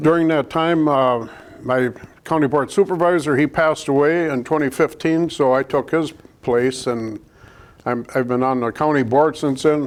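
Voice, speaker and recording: A man talks at a moderate pace. He has a Wisconsin accent. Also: fairly even intonation. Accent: Upper Midwest (Wisconsin) American. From Wisconsin, US Upper Midwest. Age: 70s. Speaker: local election candidate, retired electrician and former mayor. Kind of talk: candidate interview.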